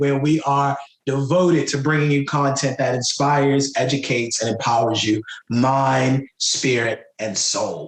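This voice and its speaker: This man's voice sits fairly high in pitch, moving at a fairly slow pace with ordinary pitch variation and very even loudness. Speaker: author and writing coach. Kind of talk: motivational talk show monologue. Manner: enthusiastic, conversational.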